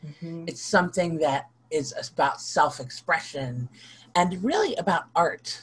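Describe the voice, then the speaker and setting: Here a woman speaks at a fairly low pitch with ordinary pitch variation. Her voice is somewhat breathy. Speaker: minister and Wiccan priestess. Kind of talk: casual interview chat. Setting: video call recording. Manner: animated, candid, laughs often.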